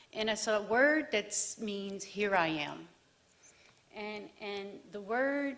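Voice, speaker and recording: Speaking very slowly with lively intonation, a woman talks in a New Orleans accent. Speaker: divinity student. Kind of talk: personal testimony. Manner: halting, many fillers.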